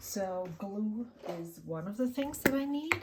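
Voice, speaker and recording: A somewhat breathy woman with a German accent, at a very slow pace with lively intonation. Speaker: journaling vlogger. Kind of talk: casual chat. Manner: halting.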